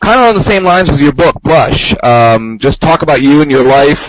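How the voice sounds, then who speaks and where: A man with a normal speaking voice talks at a fairly quick pace, his fairly high pitch carried by lively intonation. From US, Maryland (Hagerstown area). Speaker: interviewer, blogger. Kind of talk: interview.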